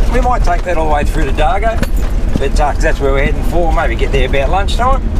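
Loud background noise sits behind a man talking at a fairly quick pace. The sound is dry, with no echo. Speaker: 4x4 travel vlogger. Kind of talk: casual vlog chat. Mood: upbeat, relaxed. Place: car.

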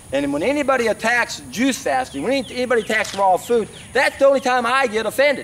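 Against faint background noise, a man talks fast in an extremely high pitch, his tone fairly bright and his intonation lively.

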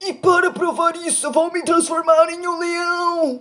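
A put-on character voice sits at an extremely high pitch. Its delivery is fairly slow, with monotone, flat intonation. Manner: confident.

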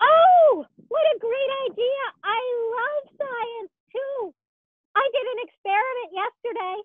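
A cartoonish character voice pitched extremely high. It moves at a fairly slow pace with long, frequent pauses. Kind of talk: children's puppet show. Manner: upbeat, excited.

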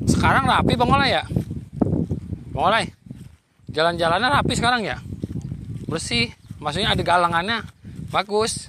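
Amid loud background noise, the speech moves at a moderate pace with long, frequent pauses and a dry sound with no echo. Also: man. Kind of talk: casual conversation while walking. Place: open country. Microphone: phone near.

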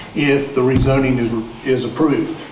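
Amid noticeable background noise, a man speaks at a moderate pace with fairly even intonation. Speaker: attorney presenting a rezoning case. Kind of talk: presentation to community meeting. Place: meeting room.

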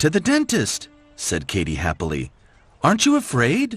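This is plain reading aloud. The text is read out.

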